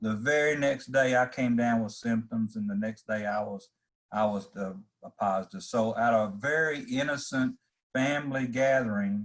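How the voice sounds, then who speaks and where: A man speaks at a medium pitch and a moderate pace, with ordinary pitch variation. His is a plain, everyday voice. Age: 60s. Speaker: farm organization leader. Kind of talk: casual talk.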